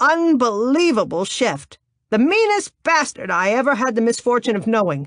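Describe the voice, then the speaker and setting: A put-on character voice, female-sounding and high, at a moderate pace. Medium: read story. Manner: gruff, loud.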